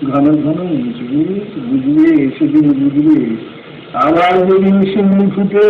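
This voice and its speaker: A man's high-pitched voice comes through over clearly audible background noise. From India, West Bengal. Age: 50s. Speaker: teacher, drama director, orator. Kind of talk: poetry reading.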